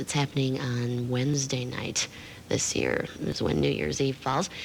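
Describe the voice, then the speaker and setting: Here a woman is speaking. Her pace is moderate. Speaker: radio disc jockey. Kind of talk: radio DJ patter. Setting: radio broadcast studio. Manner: casual, friendly.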